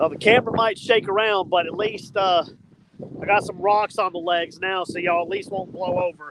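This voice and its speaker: Shouting over noticeable background noise, a man with a Southern US accent talks at a fairly quick pace in a high pitch, his intonation fairly even. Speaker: fishing vlogger. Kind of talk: casual outdoor vlog talk to camera. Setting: outdoors on riverbank. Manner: loud, yelling over wind.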